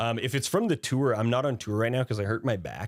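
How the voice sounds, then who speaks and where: A man with an unremarkable speaking voice talks at a fairly quick pace and with fairly even intonation. The recording is very clean, with a silent background and a dry, close sound free of echo. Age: 30s. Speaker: streamer and musician. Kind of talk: casual chat. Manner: casual, profane.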